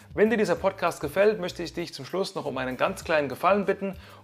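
Music plays in the background. Over it, a man speaks with ordinary pitch variation. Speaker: podcast host. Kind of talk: interview; scripted podcast outro.

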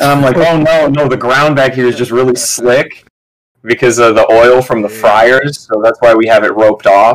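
In an ordinary speaking voice, a man with an American accent talks at a moderate pace with fairly even intonation and medium pitch. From Michigan. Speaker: stand-up comedian. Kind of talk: casual chat.

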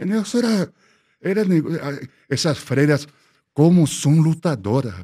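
Fairly slow speech in a Spanish accent, with long, frequent pauses and very wide pitch swings. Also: man, fairly high pitch for a man. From Peru, Lima (Miraflores). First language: Spanish (speaking Portuguese). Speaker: architect. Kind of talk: interview storytelling.

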